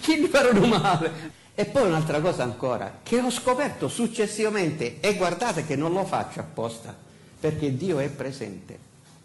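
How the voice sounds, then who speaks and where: With a Sicilian accent, a man talks at a moderate pace in a high voice that swings very widely in pitch. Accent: Sicilian Italian, uses dialect. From Sicily. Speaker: pastor; pastor preaching. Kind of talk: sermon. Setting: church pulpit. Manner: halting, many fillers. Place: church.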